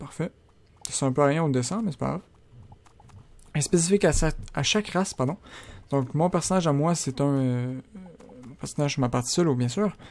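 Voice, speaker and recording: A man speaks with a fairly high pitch and ordinary pitch variation. His speech has long, frequent pauses. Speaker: gaming YouTuber. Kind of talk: let's play commentary. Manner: fast.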